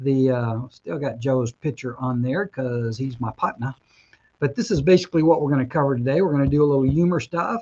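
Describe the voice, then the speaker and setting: A man speaks fairly quickly at a medium pitch. His voice is somewhat breathy, with a dark, mellow tone. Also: ordinary pitch variation. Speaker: mortgage broker and show host. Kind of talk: webinar presentation.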